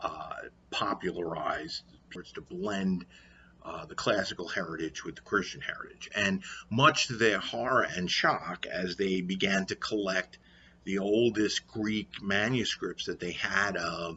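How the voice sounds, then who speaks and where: A man with a New York accent, fairly low in pitch, at a fairly slow pace, with big swings in loudness. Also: ordinary pitch variation. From New York, Brooklyn. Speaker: history teacher vlogger. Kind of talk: lecture. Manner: halting with many fillers.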